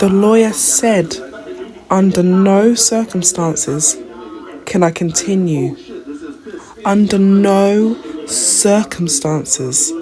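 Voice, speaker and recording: The speech moves at a very slow pace with long, frequent pauses, over noticeable background noise. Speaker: social media commenter. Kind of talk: reaction video commentary.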